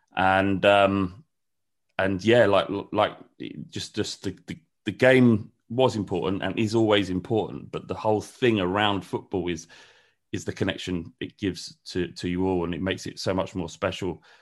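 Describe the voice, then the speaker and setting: At a moderate pace and fairly low pitch, a man with a London accent speaks with fairly even intonation against a quiet background. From North London. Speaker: football fan channel creator. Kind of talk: casual interview chat. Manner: halting.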